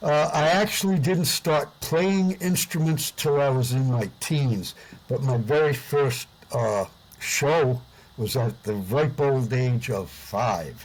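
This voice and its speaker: With an American accent, a man talks at a very slow pace in a somewhat breathy voice, his loudness very even and his intonation lively. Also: medium pitch for a man. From US Northeast, Providence, Rhode Island. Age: 70s. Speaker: singer and musician, Vietnam veteran. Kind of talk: interview. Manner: hesitant with frequent fillers.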